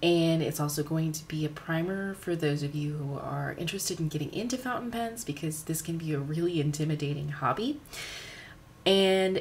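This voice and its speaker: A woman with a very deep, low voice speaks at a moderate pace with ordinary pitch variation. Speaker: art and pen hobbyist youtuber. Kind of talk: tutorial. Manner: casual, friendly.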